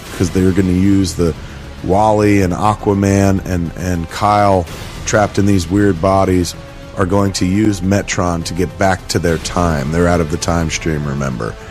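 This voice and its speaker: With music in the background, a man with a very deep, low pitch speaks in an enthusiastic tone at a moderate pace. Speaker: podcast host. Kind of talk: casual comic book read-aloud with commentary. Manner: enthusiastic, profane.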